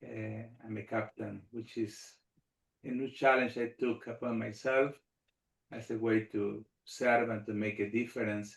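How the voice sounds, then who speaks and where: A man with a Spanish accent at a fairly slow pace, in monotone, flat intonation. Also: medium pitch for a man. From Argentina. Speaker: rabbi and army chaplain. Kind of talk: panel discussion.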